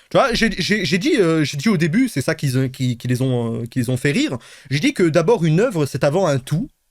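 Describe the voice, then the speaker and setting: Loud and animated, a man with fairly high pitch makes very wide pitch swings in a very clean recording with a silent background. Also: moderate pace. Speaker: streamer reacting to a replay. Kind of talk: casual stream chat. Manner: animated, halting repetitions.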